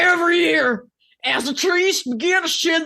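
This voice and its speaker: A woman puts on a strained character voice at a fairly slow pace. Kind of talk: comic dramatic reading. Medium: read story.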